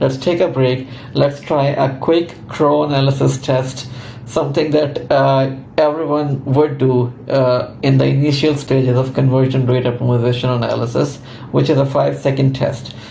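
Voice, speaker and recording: A man talks in a monotone, flat intonation with very even loudness. Noticeable background noise and audible room echo are present. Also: medium pitch for a man, moderate pace. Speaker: conversion optimization consultant. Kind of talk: tutorial.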